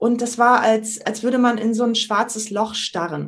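A woman with an ordinary speaking voice talks at a moderate pace. Her pitch is fairly high. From northern Germany, island of Sylt. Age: 50s. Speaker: trainer, coach and improv actress. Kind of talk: podcast interview. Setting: video call.

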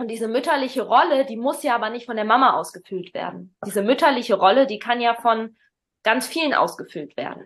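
A woman is talking. She moves along rather quickly. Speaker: parenting podcast host and coach. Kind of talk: casual chat. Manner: halting.

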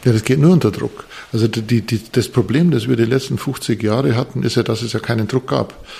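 There is noticeable background noise as a man speaks fairly quickly at a medium pitch with ordinary pitch variation. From Bavarian Forest, Bavaria. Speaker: architect and professor. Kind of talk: interview. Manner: hesitant, many fillers and repetitions.

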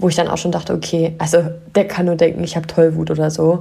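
This woman has an unremarkable speaking voice. Her pitch is fairly low and her intonation fairly even. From northern Germany, near Wolfsburg. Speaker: life coach and podcast host. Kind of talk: solo podcast monologue.

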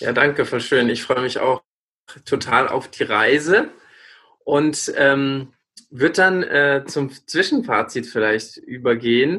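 In a very clean recording with a silent background, a man talks very slowly with a fairly high pitch and a bright, sharp tone. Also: ordinary pitch variation. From rural Lower Bavaria, near Regensburg. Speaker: student, new podcast co-host. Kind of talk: casual chat. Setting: recording from home.

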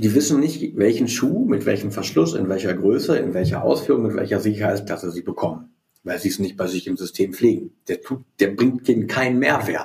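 At a fairly quick pace, a man with a fairly low pitch speaks in a somewhat breathy voice with lively intonation. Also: hardly any pauses. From East Westphalia, Germany. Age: 40s. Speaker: company CEO. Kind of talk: interview, business talk.

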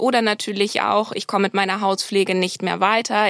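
Her pitch medium and her intonation monotone and flat, a woman speaks at a moderate pace. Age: 30s. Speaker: medical cosmetician. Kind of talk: interview.

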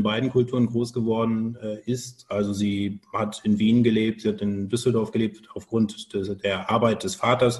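A medium-pitched man's voice at a moderate pace. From Germany, Cologne area. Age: 40s. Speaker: business travel organizer. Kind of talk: interview.

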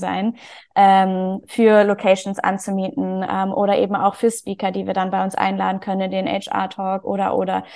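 The background is quiet. A woman speaks at a medium pitch and a moderate pace. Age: 20s. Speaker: HR professional and community founder. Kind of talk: interview.

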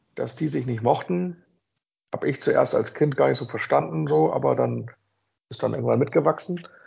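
A man keeps a moderate pace but breaks it with long, frequent pauses. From northern Germany, Buxtehude near Hamburg. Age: 40s. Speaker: football fan club leader. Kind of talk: casual chat. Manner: hesitant with many fillers.

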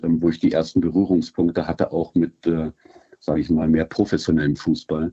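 A man's voice at a moderate speed. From Germany, Wolfsburg (Lower Saxony). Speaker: football club fan liaison. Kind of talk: interview. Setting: remote call. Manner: halting, many fillers.

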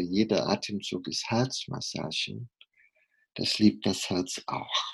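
The speech is very slow, with ordinary pitch variation. The background is quiet. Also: man. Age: 50s. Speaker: heart surgeon. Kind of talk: interview.

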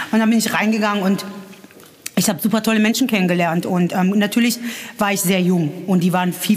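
A woman's medium-pitched voice with fairly even intonation over noticeable background noise. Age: 30s. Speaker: patient with myasthenia, support group member. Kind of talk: interview. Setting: support group meeting.

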